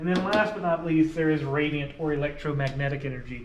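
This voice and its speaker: A man speaks with a fairly high pitch and fairly even intonation. Noticeable background noise and audible room echo surround him. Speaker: science teacher. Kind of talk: lecture. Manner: conversational, explanatory.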